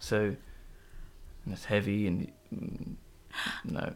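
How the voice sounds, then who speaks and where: This soft-spoken man has a fairly low voice with a Norfolk accent and takes long, frequent pauses. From England, Norwich. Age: 20s. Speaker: environmental technician. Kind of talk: casual chat.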